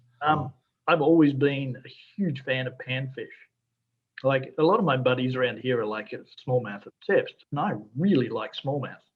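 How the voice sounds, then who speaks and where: The speaker has an Australian accent and a moderate pace. Long, frequent pauses break up the speech. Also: man, fairly high pitch for a man, ordinary pitch variation, big swings in loudness. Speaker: fly fishing guide. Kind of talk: casual podcast interview answers.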